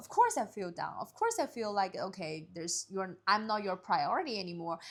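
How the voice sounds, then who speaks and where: A woman with a Chinese accent talks at a fairly quick pace in a medium pitch, with ordinary pitch variation and big swings in loudness over noticeable background noise. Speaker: podcast co-host. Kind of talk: casual chat.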